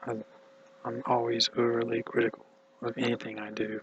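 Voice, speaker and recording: A man mumbles at a fairly slow pace with monotone, flat intonation. Noticeable background noise is present. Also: dry, close sound with no echo. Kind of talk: casual talk to camera. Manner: mumbled.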